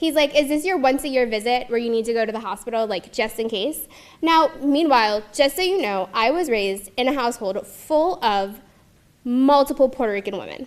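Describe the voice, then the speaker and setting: Speaking at a fairly quick pace with a Mid-Atlantic US accent, a high-pitched woman sounds animated and has lively intonation. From Maryland, US (Montgomery County). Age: 30s. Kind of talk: personal testimony talk.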